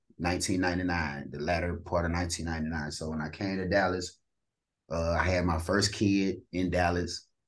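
A man's very deep, low voice with an American accent, fairly even intonation and a fairly slow pace, set against a quiet background. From East St. Louis, Illinois. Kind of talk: casual interview, testimony.

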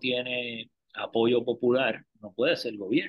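A man's medium-pitched voice at a very slow pace. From Puerto Rico, Río Piedras. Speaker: lawyer and political scientist. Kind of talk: casual interview about politics.

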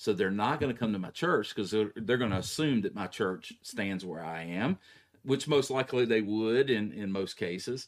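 An ordinary speaking voice from a man, fairly low in pitch, with lively intonation at a moderate pace in a very clean recording with a silent background. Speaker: pastor. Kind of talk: casual theological discussion.

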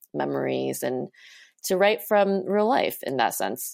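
Here a woman speaks with an American accent at a fairly slow pace. The recording is very clean, with a silent background. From Southern California suburbs. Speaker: novelist and doctoral student. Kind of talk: interview.

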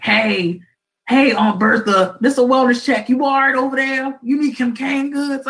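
Delivered at a moderate pace, this put-on character voice is high-pitched and raspy. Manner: mocking imitation of a wellness check.

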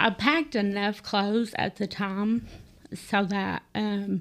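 A woman speaks in an Appalachian accent at a very slow pace. Her pitch variation is ordinary. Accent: Appalachian US Southern. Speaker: guest telling personal story. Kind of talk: testimony. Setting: studio.

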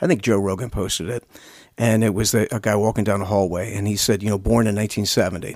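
A man with an American accent speaks very fast at a fairly low pitch, his intonation fairly even. The recording is very clean, with a silent background. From Lancaster County, Pennsylvania. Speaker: podcast co-host. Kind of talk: casual chat.

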